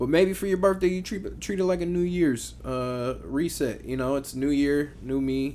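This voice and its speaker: A man speaks in a fairly high voice at a moderate pace with hardly any pauses. He has an unremarkable speaking voice. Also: ordinary pitch variation. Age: 20s. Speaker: podcast co-host. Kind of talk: casual chat.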